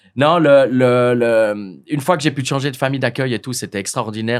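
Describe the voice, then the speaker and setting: A man with a medium pitch talks at a moderate pace with ordinary pitch variation, captured in a very clean recording against a silent background. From French-speaking Switzerland, Lausanne. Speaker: hotel owner. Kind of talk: interview. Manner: halting, many repetitions.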